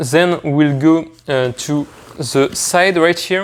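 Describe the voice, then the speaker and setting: Someone speaks in a French accent over noticeable background noise. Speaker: product reviewer. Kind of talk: product review tutorial. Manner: hesitant with fillers.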